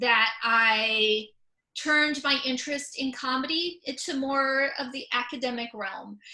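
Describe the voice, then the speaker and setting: The voice has a Californian accent and a bright, sharp tone. The pace is fairly slow. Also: woman. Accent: Californian American. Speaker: comedian and author. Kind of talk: presentation. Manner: many fillers and repetitions.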